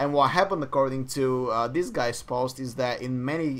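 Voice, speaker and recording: This man speaks with a non-native accent at a moderate pace. His medium pitch shows ordinary pitch variation. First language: not English. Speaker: esports podcast co-host. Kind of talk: casual podcast chat. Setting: live-streamed podcast.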